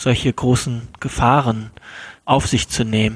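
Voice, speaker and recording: A man at a medium pitch, speaking at a fairly slow pace in monotone, flat intonation, with a dry, close sound and no echo. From Germany. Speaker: podcast host. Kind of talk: casual interview. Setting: at his parents' home.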